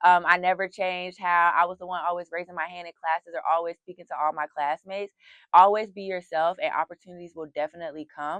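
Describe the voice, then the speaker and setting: Very fast and monotone, a woman with a Southern accent speaks at a fairly low pitch with big swings in loudness, the sound dry and close with no echo. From US South. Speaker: university student. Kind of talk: interview.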